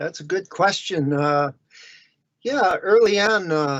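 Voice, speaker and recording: Speaking with a Chicago accent, a man uses a high pitch and lively intonation. He goes at a very slow pace. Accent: Chicago American. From US Midwest, Chicago area. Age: 60s. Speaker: illustrator. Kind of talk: interview.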